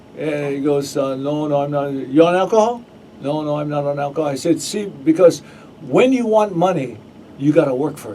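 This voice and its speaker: Over noticeable background noise, a man speaks at a fairly quick pace with a fairly high pitch and ordinary pitch variation. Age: 60s. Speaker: radio host. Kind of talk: casual chat. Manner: halting.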